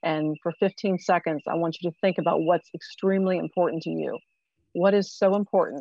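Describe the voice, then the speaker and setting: A woman speaks in an ordinary speaking voice with a fairly low pitch. Her intonation is fairly even and her pace fairly quick. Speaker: co-host, economic development director. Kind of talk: casual interview.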